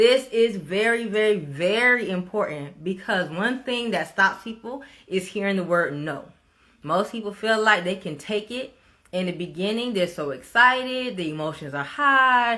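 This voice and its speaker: A woman with a Miami accent speaks in an animated, bright, sharp tone at a medium pitch. Her pace is moderate and her intonation lively. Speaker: real estate coach. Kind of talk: casual vlog talk to camera.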